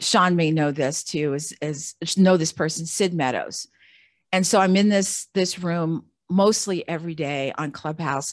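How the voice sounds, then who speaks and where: Against a quiet background, a woman with an unremarkable speaking voice talks at a fairly slow pace, her pitch fairly low and its variation ordinary. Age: 60s. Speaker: Air Force veteran and podcaster. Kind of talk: casual interview chat.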